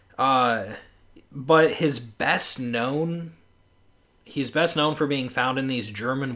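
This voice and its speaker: A man at a very slow pace, medium in pitch with ordinary variation and a bright, sharp tone. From rural area. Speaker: podcast guest. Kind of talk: casual chat.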